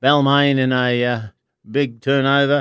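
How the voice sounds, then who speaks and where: A man talks in an Australian accent with monotone, flat intonation. The recording is very clean, with a silent background. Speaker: charity club member and rugby league fan. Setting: studio.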